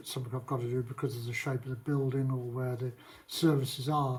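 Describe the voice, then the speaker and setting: A man talks at a fairly quick pace with a British accent. His voice is somewhat breathy and monotone, with flat intonation. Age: 70s. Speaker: vlogger and property renovator. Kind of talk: casual vlog talk. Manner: halting, with many fillers.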